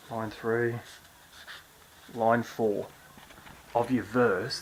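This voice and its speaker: A man with a medium pitch speaks quietly and at a very slow pace. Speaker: songwriting teacher. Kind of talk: tutorial. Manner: quiet, hushed; casual, with fillers and restarts.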